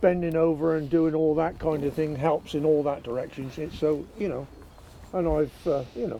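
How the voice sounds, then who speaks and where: This man has a West Country accent, a fairly high pitch and fairly even intonation. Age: 80s+. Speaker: retired allotment gardener. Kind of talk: casual interview. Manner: halting.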